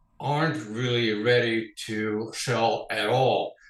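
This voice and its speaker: A man's somewhat breathy, medium-pitched voice with a Dutch accent and ordinary pitch variation. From Netherlands, Amsterdam. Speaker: financial advisor. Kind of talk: interview. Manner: formal.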